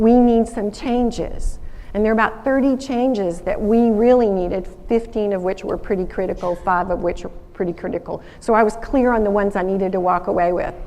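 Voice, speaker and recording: With an American accent, a woman speaks at a fairly quick pace in a dark, mellow tone at a fairly high pitch, with audible room echo. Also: ordinary pitch variation. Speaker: alumna speaker, former lawyer. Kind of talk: school assembly talk. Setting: stage with audience. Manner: animated storytelling.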